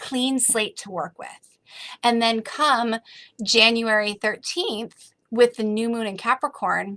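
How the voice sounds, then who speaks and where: A woman speaks fairly slowly in a fairly high voice with a bright, sharp, animated tone. The sound is dry and close, with no echo. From Massachusetts, US. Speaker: spiritual coach. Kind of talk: online workshop. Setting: livestream video call.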